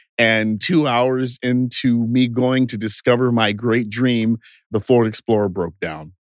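A man with an unremarkable speaking voice talks at a fairly slow pace, at medium pitch with ordinary pitch variation. The sound is dry and close with no echo, over a quiet background. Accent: American. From Texas, Bastrop. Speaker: TV producer and company founder. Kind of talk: interview. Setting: studio.

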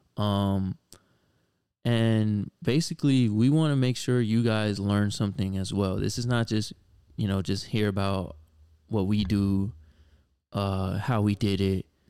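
With an American accent and a dark, mellow tone, this speaker goes at a fairly slow pace with long, frequent pauses, ordinary pitch variation, and very even loudness. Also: man, fairly low pitch for a man. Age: 20s. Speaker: podcast host, sneaker reseller. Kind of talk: casual chat. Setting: home studio in living room. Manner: animated.

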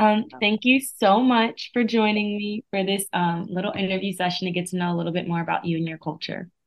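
A woman with a plain, everyday voice speaks at medium pitch and a fairly quick pace, with ordinary pitch variation and hardly any pauses. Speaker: student interviewer. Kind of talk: interview.

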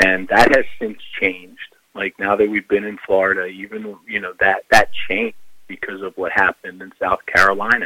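A man with an American accent speaks at a moderate pace, his loudness swinging widely. The sound is dry and close, with no echo. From Philadelphia, US. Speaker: life coach. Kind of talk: casual interview. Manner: halting.

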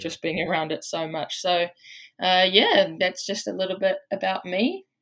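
A woman speaks at a moderate pace with a New Zealand accent. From New Zealand, Waikato. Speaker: college basketball player. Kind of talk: casual interview.

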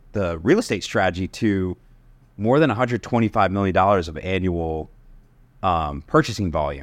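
A man with an American accent and lively intonation at a moderate pace, on a very clean recording with a silent background. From US Northeast (Connecticut). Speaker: entrepreneur and real estate investor. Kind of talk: casual interview chat.

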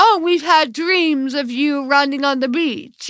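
A put-on character voice is used here. Its pitch is high and its pace fairly slow. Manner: gushing, sing-song.

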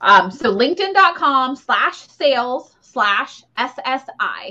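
A woman's high, raised, projected voice in an American accent, bright and sharp in tone, with very wide pitch swings. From Ohio, US Midwest. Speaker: career coach, podcast host. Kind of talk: live-streamed workshop. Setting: livestream with chat. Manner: casual, many fillers.

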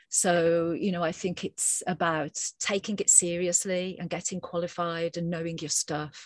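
Delivered with a British accent at a moderate pace, the monotone, flat speech has a dry, close sound with no echo. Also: woman, fairly low pitch for a woman, quiet background. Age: 50s. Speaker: researcher on teacher wellbeing. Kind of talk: interview.

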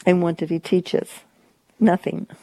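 A woman with a Kentucky accent, dark and mellow in tone, at a moderate pace with fairly even intonation, the sound dry and close with no echo. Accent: Kentucky, US South. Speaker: guest's wife. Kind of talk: interview.

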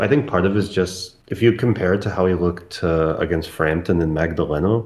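A man with an Eastern European accent speaks in a very deep, low voice. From post-Soviet country, Eastern Europe. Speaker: boxing podcast guest. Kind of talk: casual chat.

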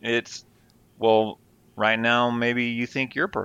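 At a fairly slow pace, a man speaks with a medium pitch. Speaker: radio host (former), co-host's father. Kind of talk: casual chat.

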